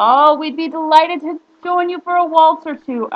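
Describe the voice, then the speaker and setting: The voice is an exaggerated, put-on character. This woman pitches it extremely high. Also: moderate pace. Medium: read story. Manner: lively, brogue-flavored.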